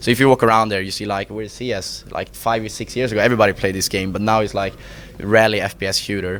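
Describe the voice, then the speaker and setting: A man's fairly low voice, very fast and flat in a monotone, with noticeable background noise. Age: 20s. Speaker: esports team executive. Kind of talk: interview. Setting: gaming event. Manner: halting.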